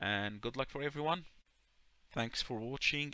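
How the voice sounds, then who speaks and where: A man with an Arabic accent speaks in a bright, sharp tone with ordinary pitch variation. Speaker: YouTuber. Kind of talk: tutorial. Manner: halting.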